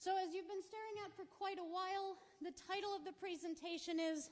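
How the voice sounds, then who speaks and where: A woman speaks loudly. Audible room echo fills the recording. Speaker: professor, archaeologist. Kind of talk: lecture. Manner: animated.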